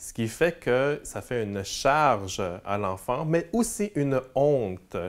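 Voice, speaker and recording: The background is quiet. A man speaks at medium pitch with lively intonation. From Quebec, Montreal. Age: 40s. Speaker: community worker. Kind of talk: interview; interview answer. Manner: halting. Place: meeting room. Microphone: lapel.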